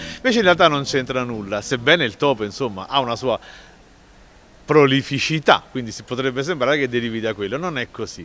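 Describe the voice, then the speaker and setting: A man speaks at a fairly quick pace with lively intonation and a medium pitch, with music playing in the background. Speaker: writer and Neapolitan dialect expert. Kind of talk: explanatory talk on word origins.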